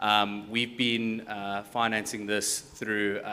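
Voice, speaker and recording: Fairly low male voice with a South African accent, bright and sharp in tone, monotone and flat in intonation. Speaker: tech company founder; panelist. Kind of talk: panel discussion. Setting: stage with audience. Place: hall. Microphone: handheld.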